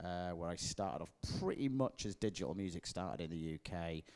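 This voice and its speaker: Speaking with a Leeds accent, a man talks at a moderate pace in a very deep, low voice with a dark, mellow tone. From northern England, Leeds. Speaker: music industry representative. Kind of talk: panel interview. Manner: casual with many fillers.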